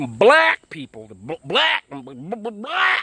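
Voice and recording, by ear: Speaking very slowly, a man uses a put-on character voice. His pitch is fairly high.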